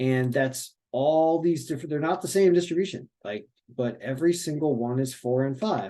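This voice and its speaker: A man's fairly high voice with a dark, mellow tone, ordinary pitch variation and a moderate pace. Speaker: sports betting analyst. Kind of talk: screen-share tutorial. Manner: halting, with fillers.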